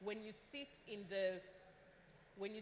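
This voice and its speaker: Background noise is noticeable as a woman talks at a moderate speed. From Uganda. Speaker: government official. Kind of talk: panel discussion.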